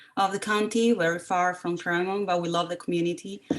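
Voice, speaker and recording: A Spanish accent colors the speech. Its intonation is fairly even. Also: woman, very clean recording, silent background. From Costa Rica. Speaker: parent representative. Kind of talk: community meeting introduction.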